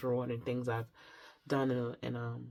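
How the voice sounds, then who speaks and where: An excited-sounding woman at a moderate pace, in a very clean recording with a silent background. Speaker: tarot reader. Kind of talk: pick-a-card tarot reading intro, casual talk. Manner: shaky, less excited; halting, many fillers.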